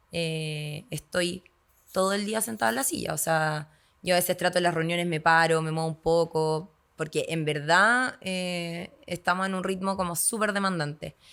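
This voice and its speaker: At a moderate pace, a woman with a fairly low pitch speaks with ordinary pitch variation on a very clean recording with a silent background. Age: 30s. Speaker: yoga instructor and agronomist. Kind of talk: podcast interview.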